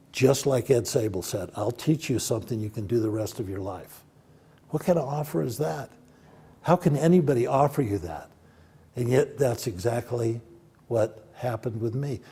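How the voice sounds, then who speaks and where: A man's somewhat breathy voice with a dark, mellow tone and lively intonation. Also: medium pitch for a man, moderate pace. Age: 70s. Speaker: film producer and professor. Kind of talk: interview.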